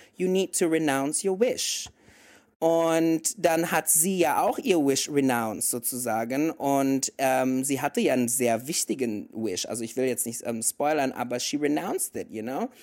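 A man with an English accent speaks at a fairly slow pace in a fairly high voice. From mixed: Indonesia and several countries. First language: English (speaking German). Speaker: podcast co-host. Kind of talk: casual chat. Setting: remote call.

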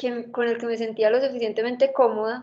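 Here a woman speaks at a fairly quick pace. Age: 30s. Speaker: blogger with autoimmune illness. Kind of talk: interview testimony.

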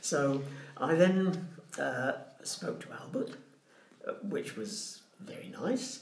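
A man with a Southern English accent speaks at a very slow pace and high pitch, with very wide pitch swings. He takes long, frequent pauses over noticeable background noise. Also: big swings in loudness. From England, Portsmouth. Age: 80s+. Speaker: retired social worker. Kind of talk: casual chat.

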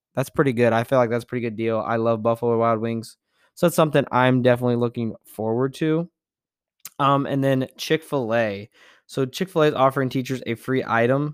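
In a very clean recording with a silent background and a dry, close sound with no echo, a man speaks at medium pitch and a fairly quick pace with fairly even intonation. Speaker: podcast host and STEM teacher. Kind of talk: casual podcast monologue. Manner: fast talker.

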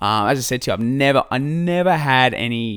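A man with an Australian accent, on a very clean recording with a silent background. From Australia, Albury-Wodonga on the New South Wales/Victoria border. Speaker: diabetes patient and fitness enthusiast. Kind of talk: casual interview chat. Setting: sharing one microphone indoors.

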